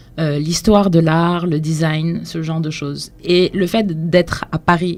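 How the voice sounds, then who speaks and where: Against noticeable background noise, a woman speaks at a very slow pace with hardly any pauses, her pitch fairly low and her intonation fairly even. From Senegal (Dakar). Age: 20s. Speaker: cultural entrepreneur, blog founder. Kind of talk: radio interview.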